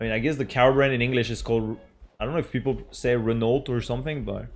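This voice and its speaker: Speaking with a French accent, the man keeps his voice at a medium pitch. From France. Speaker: gaming streamer. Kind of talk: casual gameplay commentary. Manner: animated.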